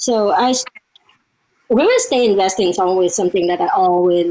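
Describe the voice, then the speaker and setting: A woman's medium-pitched voice comes with a Vietnamese accent. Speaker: real estate investor and academy member. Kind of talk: casual interview.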